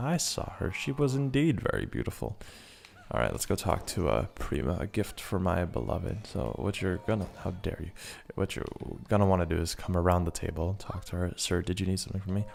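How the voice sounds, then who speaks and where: With vocal fry and lively intonation, a man talks at a fairly quick pace in a very deep, low pitch. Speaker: gaming video creator. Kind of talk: casual gameplay commentary. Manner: stutter; animated.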